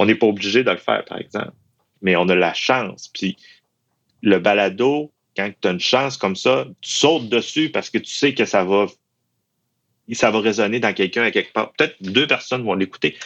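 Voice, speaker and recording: A man speaks at a fairly low pitch with ordinary pitch variation. He has a Saguenay–Lac-Saint-Jean accent and takes long, frequent pauses. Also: moderate pace. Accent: Saguenay-Lac-Saint-Jean Quebec French. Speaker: university employee. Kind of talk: interview testimony. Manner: halting, many repetitions.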